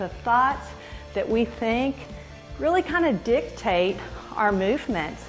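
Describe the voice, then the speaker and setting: The voice belongs to a woman. Some faint music can be heard behind her. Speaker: fitness instructor. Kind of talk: workout instruction with devotional talk. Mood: upbeat, encouraging. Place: home room.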